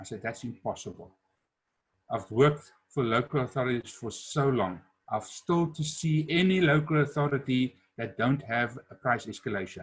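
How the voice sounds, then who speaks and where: At a moderate pace, a man talks in a somewhat breathy, medium-pitched voice with lively intonation. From South Africa. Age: 60s. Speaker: entrepreneur and business speaker. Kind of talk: webinar talk.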